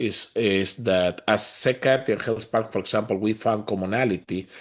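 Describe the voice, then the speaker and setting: At a moderate pace and medium pitch, a man with a Spanish accent speaks with fairly even intonation against a quiet background. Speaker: community organization leader. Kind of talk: town hall panel discussion.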